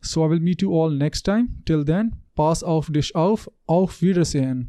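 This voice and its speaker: A man with a fairly high pitch and a dark, mellow tone talks at a moderate pace with ordinary pitch variation. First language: neither English nor German. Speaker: German language tutor; student. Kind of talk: educational introduction to camera.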